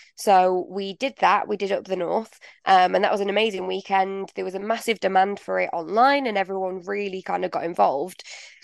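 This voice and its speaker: A woman with a Mancunian accent speaks at a fairly quick pace and medium pitch, with fairly even intonation and hardly any pauses. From northern England, Manchester. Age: 20s. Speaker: playwright. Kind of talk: interview. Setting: studio.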